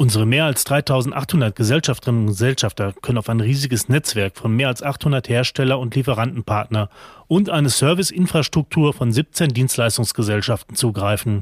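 The recording is very clean, with a silent background and a dry, close sound with no echo. A man at medium pitch talks with hardly any pauses in a somewhat breathy voice. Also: ordinary pitch variation, moderate pace. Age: 40s. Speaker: kitchen retail group executive. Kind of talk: interview.

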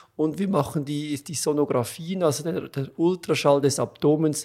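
In a very clean recording with a silent background, a man with a Swiss accent talks at a moderate pace, his fairly high pitch following a fairly even intonation. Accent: noticeable Swiss. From Switzerland. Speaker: gastroenterologist. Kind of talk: interview.

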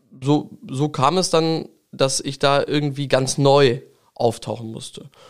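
This man has an unremarkable speaking voice, fairly high in pitch, and talks at a fairly slow pace. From Lower Saxony, Langenhagen near Hanover. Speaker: state parliament member, politician. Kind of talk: interview.

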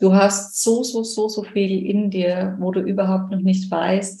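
A woman's somewhat breathy, dark and mellow voice at a medium pitch, very slow pace, with audible room echo. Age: 20s. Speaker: nurse and coach. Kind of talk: interview.

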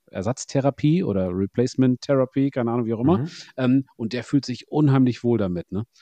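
A man's medium-pitched, fairly quick delivery in an unremarkable speaking voice. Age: 40s. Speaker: podcast host. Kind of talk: casual interview chat.

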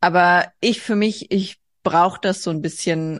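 This woman's voice sits at a fairly low pitch. The background is quiet. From Hesse, Germany (rural). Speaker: artist. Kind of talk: casual interview. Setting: video call.

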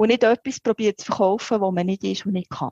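A woman speaks at a fairly quick pace in a dark, mellow tone with ordinary pitch variation. The sound is dry and close, with no echo. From Switzerland, Biel (bilingual region). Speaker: head of continuing education. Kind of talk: interview.

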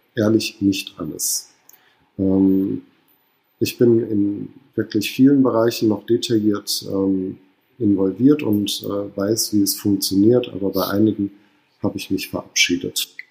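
A man's fairly low, dark and mellow voice at a very slow pace, with fairly even intonation and long, frequent pauses. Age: 30s. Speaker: hotel manager. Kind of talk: interview. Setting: hotel staff room.

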